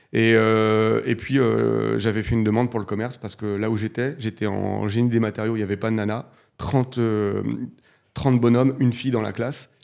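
The background stays quiet. A man's intonation is fairly even, and his pace is moderate. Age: 40s. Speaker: real estate investor and entrepreneur; podcast guest. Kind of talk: casual interview. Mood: relaxed, storytelling. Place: studio. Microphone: studio mic.

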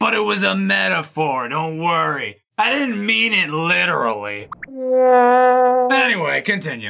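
In a cartoonish character voice, a man speaks fairly high with very wide pitch swings and very even loudness. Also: moderate pace. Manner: gruff, brash, swearing.

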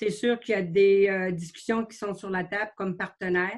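A woman speaks at a medium pitch and a moderate pace against a quiet background. Her intonation is monotone and flat. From Quebec. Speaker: mayor chairing council meeting. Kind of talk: municipal council meeting. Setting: closed-door council chamber. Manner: formal. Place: home room. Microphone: video call.

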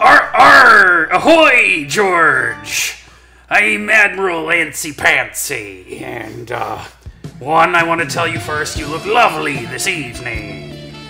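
Over music in the background, a raspy, put-on character voice speaks at a fairly slow pace. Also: man, high pitch for a man. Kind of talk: pirate speech. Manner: seductive.

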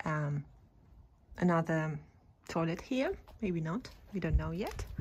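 A woman's somewhat breathy, fairly low-pitched voice. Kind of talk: casual vlog chat. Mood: cheerful, enthusiastic. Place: street. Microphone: phone near.

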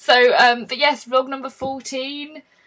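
A woman speaks with an English accent. Her pitch is fairly high. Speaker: vlogger. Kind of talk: casual vlog.

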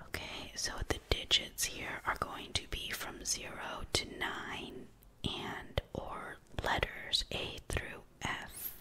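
Whispering and soft-spoken, the voice moves at a very slow pace over light background noise. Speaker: tutor. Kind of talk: tutorial. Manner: soft ASMR whisper while explaining. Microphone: phone near.

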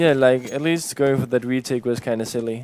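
With a Danish accent, a man speaks at a medium pitch using fairly even intonation. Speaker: esports commentator. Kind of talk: casual English, second language.

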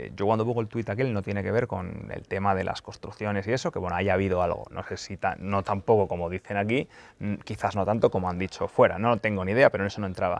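A man's fairly low-pitched voice at a very fast pace, with fairly even intonation and a dry sound with no echo. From Spain. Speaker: football YouTuber and journalist; football YouTuber, journalist. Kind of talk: casual Q&A video monologue. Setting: press centre lounge.

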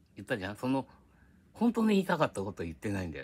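Lively intonation comes through a somewhat breathy voice over light background noise. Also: man. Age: old. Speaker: YouTuber. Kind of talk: casual monologue. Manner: rambling, frequent laughter. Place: home room. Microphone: phone near.

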